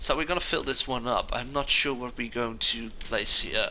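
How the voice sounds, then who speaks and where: Speaking with a Dutch accent, a man with a medium pitch and ordinary pitch variation has a bright, sharp tone, with audible room echo. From Netherlands. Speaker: gaming streamer. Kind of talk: live gameplay commentary. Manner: casual, hesitant with fillers.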